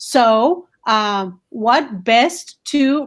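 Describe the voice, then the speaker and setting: A woman speaks with a Spanish accent and a high pitch. Her tone is animated. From Colombia. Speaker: school principal. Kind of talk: interview. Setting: video call from home.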